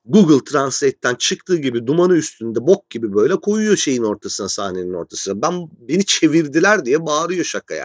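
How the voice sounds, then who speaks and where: A man with a fairly high pitch speaks at a fairly quick pace in an animated tone, his pitch swinging very widely and hardly any pauses breaking it up. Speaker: podcast host. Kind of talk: casual monologue.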